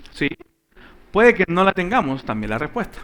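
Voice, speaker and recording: This man speaks in a high pitch with a bright, sharp tone and very wide pitch swings. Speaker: Bible class teacher. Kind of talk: Bible class teaching. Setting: church classroom with live audience. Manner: animated. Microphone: microphone switched off, audio problems at start.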